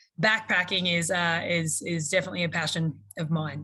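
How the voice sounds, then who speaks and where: The woman's tone is bright and sharp. She talks with an Australian accent. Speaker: university faculty. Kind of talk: self-introduction on panel. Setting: video call.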